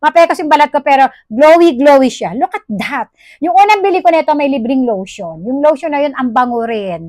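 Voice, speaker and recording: Fairly quick delivery with very wide pitch swings, dry and echo-free against a quiet background. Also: woman, high pitch for a woman. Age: 40s. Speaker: product review vlogger. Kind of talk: product review vlog. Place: home room. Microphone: phone near.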